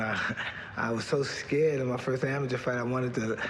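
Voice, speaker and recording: A man speaks in a monotone, flat voice at a moderate pace. Noticeable background noise is present. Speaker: boxer. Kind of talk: interview answer. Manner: soft-spoken.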